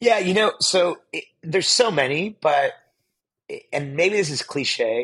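Speaking at a fairly slow pace, a man with a high pitch and a General American accent uses lively intonation. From US, Pittsburgh, Pennsylvania. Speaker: venture capital investor. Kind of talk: interview conversation.

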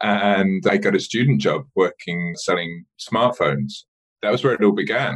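A man with an English accent. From rural southern England, west of London. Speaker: mobile marketing director. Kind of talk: interview.

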